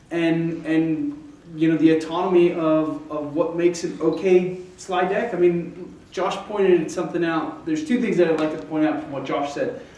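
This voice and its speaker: Loud and high-pitched, a man talks at a moderate pace with fairly even intonation and hardly any pauses, with audible room echo and noticeable background noise. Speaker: startup founder. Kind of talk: pitch presentation. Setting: stage with audience. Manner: halting.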